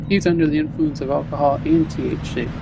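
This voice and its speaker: The voice comes through quiet at a fairly quick pace. Noticeable background noise can be heard. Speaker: video game streamer. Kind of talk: live gameplay commentary. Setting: at home, live stream. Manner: quiet, subdued.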